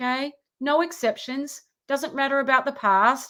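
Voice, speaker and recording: A woman speaks in a raised, projected voice with a bright, sharp tone and fairly even intonation. The recording is very clean, with a silent background. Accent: Australian. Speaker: relationship coach. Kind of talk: live Q&A monologue with program pitch. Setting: livestream.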